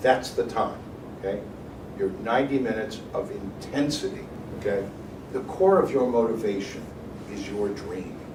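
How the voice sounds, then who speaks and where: A man talks with lively intonation and long, frequent pauses, his voice carrying audible room echo and noticeable background noise. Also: medium pitch for a man, moderate pace. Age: 60s. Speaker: financial advisor speaking to students. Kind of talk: motivational talk to students. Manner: animated.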